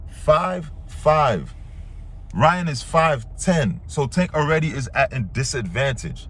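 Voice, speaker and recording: With an American accent, a man speaks in an animated tone and lively intonation at a fairly high pitch, with audible room echo. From Brooklyn, New York. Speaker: boxing reaction youtuber. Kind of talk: reaction commentary rant. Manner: animated, heated.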